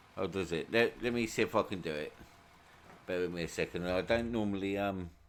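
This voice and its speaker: This man has a fairly low pitch and a British accent. His intonation stays fairly even. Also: fairly quick pace. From UK. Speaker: gaming streamer. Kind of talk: live stream commentary. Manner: halting, many fillers.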